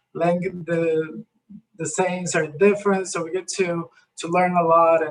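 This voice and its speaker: A man with a Spanish accent speaks at a fairly slow pace. His pitch is high and his intonation is monotone and flat. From Colombia. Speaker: community health program worker. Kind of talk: presentation in online breakout session. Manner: halting, many repeated words.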